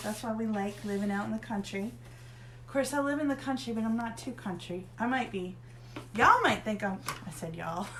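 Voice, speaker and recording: A woman with a slight Southern US accent talks at a fairly quick pace in a fairly high pitch with very wide pitch swings, amid audible room echo and noticeable background noise. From northern Pennsylvania, US (Erie). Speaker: craft tutorial host. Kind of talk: tutorial. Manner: casual, chatty.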